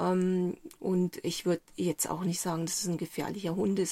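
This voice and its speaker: Her intonation fairly even, a woman talks at a medium pitch in an ordinary speaking voice. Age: 60s. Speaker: journalist and author. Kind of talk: interview. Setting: inside a camper van on a mountain.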